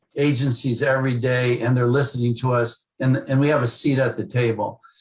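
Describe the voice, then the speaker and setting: A man speaks at a moderate pace and a medium pitch with ordinary pitch variation and hardly any pauses. His somewhat breathy voice keeps a very even loudness. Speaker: former ambassador, president of a policy task force on Lebanon. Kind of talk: radio interview answer.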